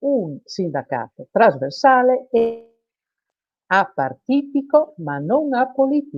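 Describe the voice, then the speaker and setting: A woman speaks with a fairly high voice that swings very widely up and down in pitch. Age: 60s. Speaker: self-employed workers' union representative. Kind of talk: live TV interview. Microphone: unstable internet connection.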